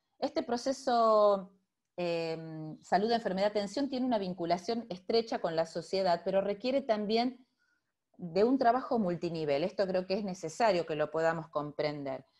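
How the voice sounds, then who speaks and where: Against a quiet background, a woman speaks at a moderate pace and medium pitch with lively intonation. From Argentina, Rosario; Argentina. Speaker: physician and public health professor; university professor presenting. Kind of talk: lecture. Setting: video call. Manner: hesitant, with many fillers. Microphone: video call.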